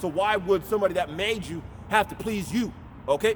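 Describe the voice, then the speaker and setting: A man speaks loudly. His pitch is high. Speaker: street preacher. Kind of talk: sermon. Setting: outdoors. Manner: aggressive.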